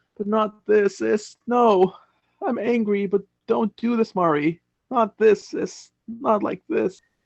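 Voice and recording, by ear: A man does a put-on character voice with vocal fry. His pitch is high and his pace slow. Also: fairly even intonation.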